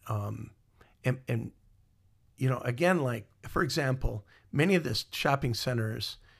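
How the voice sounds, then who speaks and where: A man speaks at a fairly slow pace, somewhat breathy. The recording is very clean, with a silent background. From Iowa. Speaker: musician and former mall marketing director. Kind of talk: interview storytelling. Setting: studio, in person. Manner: halting with many fillers.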